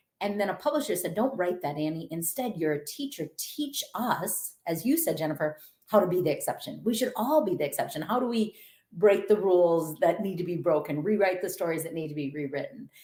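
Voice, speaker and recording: A woman with a Minnesotan accent speaks at a fairly quick pace, her fairly low voice moving in a lively intonation. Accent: Minnesota. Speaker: author and motivational speaker. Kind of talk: podcast interview.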